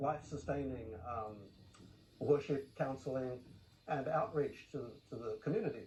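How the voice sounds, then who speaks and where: The voice is somewhat breathy, in an Australian accent. Its pitch variation is ordinary. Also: man. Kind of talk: TV news interview.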